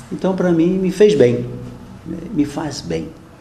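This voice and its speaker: A man speaks at a fairly slow pace with very wide pitch swings. Noticeable background noise and audible room echo are present. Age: 60s. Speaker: archbishop. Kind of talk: press conference answers. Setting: press conference room. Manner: hesitant, conversational.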